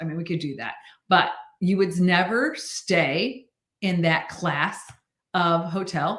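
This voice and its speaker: A woman speaks in an animated, bright, sharp tone at a fairly low pitch. Audible room echo is present. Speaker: sales team leader. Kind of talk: prayer; motivational team meeting livestream. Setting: livestream.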